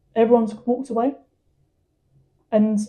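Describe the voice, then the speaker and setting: With a southern English accent, a woman speaks in a fairly high pitch and a dark, mellow tone, her intonation monotone and flat. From England. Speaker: footballer. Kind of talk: testimony.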